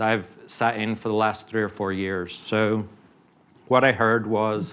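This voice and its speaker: A man with a British accent, fairly low pitch and fairly even intonation. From UK. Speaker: oil company geoscientist executive. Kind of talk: conference panel talk.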